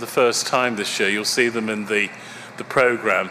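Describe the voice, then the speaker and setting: A man's voice over noticeable background noise. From Birmingham, England. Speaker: conference chair. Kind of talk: conference opening remarks. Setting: conference hall with audience. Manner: hesitant, many fillers and repeats.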